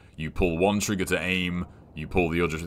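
A man speaks with a very deep, low pitch. His pace is fairly quick. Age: 30s. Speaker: video game streamer. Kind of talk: casual gaming livestream chat. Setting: live stream with chat.

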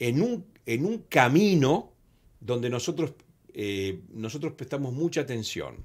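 A man talks with very wide pitch swings. The background is quiet. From Argentina. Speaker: communication organization president; guest. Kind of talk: interview. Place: studio. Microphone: studio mic.

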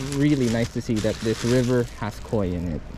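Music runs behind a man speaking at a moderate pace with ordinary pitch variation. The sound is dry, with no echo. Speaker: angler vlogger. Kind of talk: casual vlog chat. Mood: hopeful, pleased. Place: waterside. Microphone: phone near.

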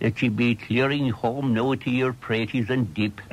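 In a Cork accent, the speaker talks at a fairly slow pace with fairly even intonation. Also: man. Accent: Irish, County Cork. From Ireland. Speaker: storyteller. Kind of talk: radio interview reminiscence. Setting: radio broadcast recorded off air. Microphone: old recording.

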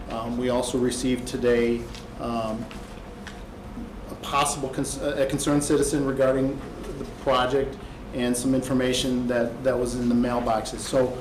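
A man speaks at a moderate pace with monotone, flat intonation and long, frequent pauses. Audible room echo and noticeable background noise come through. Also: medium pitch for a man. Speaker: petitioner's representative at zoning hearing. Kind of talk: formal presentation at public hearing. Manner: soft-spoken.

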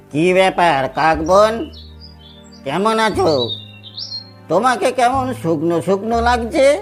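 With clear music in the background, a cartoonish character voice at a middle pitch moves at a very slow pace. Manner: sly, knowing.

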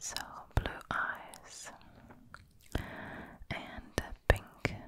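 Soft-spoken whispering comes through with a dry sound with no echo and noticeable background noise. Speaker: presenter. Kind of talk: tutorial. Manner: soft close-up ASMR whisper.

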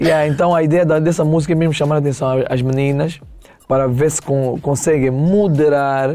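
The pace of this voice is moderate. Its tone comes across dark and mellow. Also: man, fairly high pitch for a man, fairly even intonation. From Angola, Benguela; Angola. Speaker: singer; guest. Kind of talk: casual chat. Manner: calm. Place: studio. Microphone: lapel.

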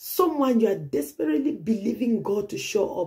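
A woman's voice with vocal fry and very wide pitch swings, set against a quiet background. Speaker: pastor. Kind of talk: prophetic sermon. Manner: earnest, urgent, repetitive; direct exhortation, preacherly. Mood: earnest, emotive, sometimes smiling.

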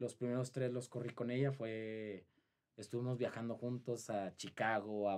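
The speaker is a man. He takes things at a fairly slow pace. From Saltillo, Mexico; Mexico. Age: 20s. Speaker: marathon runner; guest. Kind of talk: interview; interview answer. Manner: halting. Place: studio. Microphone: studio mic.

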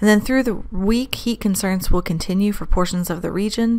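A woman is talking. She goes at a fairly quick pace with fairly even intonation. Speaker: weather forecaster. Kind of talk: weather briefing. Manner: formal, steady; occasional um/uh hesitations.

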